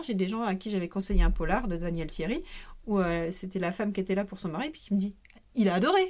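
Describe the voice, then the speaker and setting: A woman talks at a fairly quick pace in a medium pitch, with ordinary pitch variation and big swings in loudness. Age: 40s. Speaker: volunteer at a media library, former bookseller. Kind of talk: casual chat. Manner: halting.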